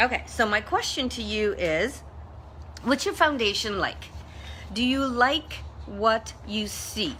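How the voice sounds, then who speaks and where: Noticeable background noise sits behind a woman's voice. She speaks at a very slow pace with long, frequent pauses. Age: 60s. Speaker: motivational social media host. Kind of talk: live stream monologue. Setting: Facebook live video. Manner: casual, conversational.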